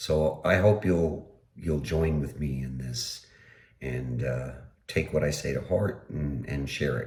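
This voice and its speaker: A man speaks at a fairly slow pace with a very deep, low pitch, vocal fry and lively intonation. Room echo is audible. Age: 60s. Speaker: political podcaster. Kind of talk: solo podcast commentary. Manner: halting, many fillers.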